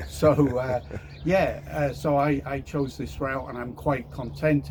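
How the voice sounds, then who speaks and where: A man talks over noticeable background noise. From Europe. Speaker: home seller, engineer. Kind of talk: testimonial interview. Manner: hesitant, with fillers.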